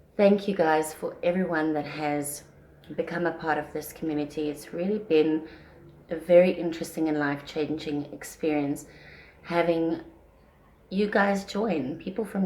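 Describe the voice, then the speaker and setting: A soft-spoken woman with a fairly low voice and ordinary pitch variation. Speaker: parenting vlogger. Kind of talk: casual vlog talk. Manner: soft-spoken, speaking quietly; usually loud.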